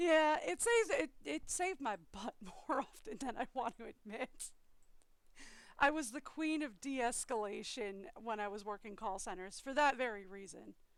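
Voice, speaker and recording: Her intonation is lively and her pitch high. The woman speaks at a moderate pace. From eastern US, raised in Maryland. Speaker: gaming streamer. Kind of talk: casual chat.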